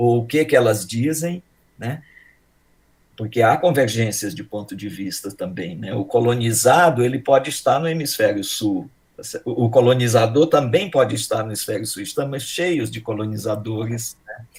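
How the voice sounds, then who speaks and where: Somewhat breathy, a man talks at a moderate pace with ordinary pitch variation and big swings in loudness. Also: medium pitch for a man. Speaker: professor. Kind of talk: introduction speech.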